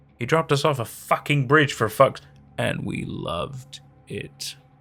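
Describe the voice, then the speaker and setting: Growling in a put-on character voice at a fairly high pitch, a man sounds angry at a moderate pace, his loudness swinging widely over faint background music. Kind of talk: profane, heated outburst. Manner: snarling, angry.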